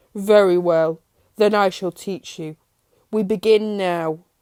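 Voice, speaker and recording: A woman uses a put-on character voice at medium pitch, talking at a fairly slow pace in a very clean recording with a silent background. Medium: read story. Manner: cryptic and teasing.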